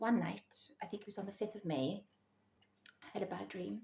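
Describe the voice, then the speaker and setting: A woman whispers at a moderate pace in a Welsh accent. Vocal fry runs through her voice. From Wales. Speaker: psychic vlogger. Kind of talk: personal storytelling vlog. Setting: at home in the early morning. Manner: whispering.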